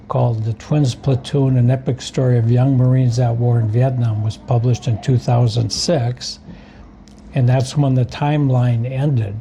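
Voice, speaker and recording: Over noticeable background noise, a man with an American accent and a medium pitch speaks at a moderate pace with fairly even intonation. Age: 70s. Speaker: war veteran and author. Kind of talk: interview. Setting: coffee shop.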